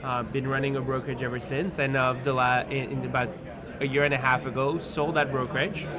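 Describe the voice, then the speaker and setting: A man with a French accent speaks at a fairly quick pace, his medium pitch held to fairly even intonation. Noticeable background noise and audible room echo are present. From France. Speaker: tech company CEO. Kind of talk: interview. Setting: on site at a conference. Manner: halting, many repetitions.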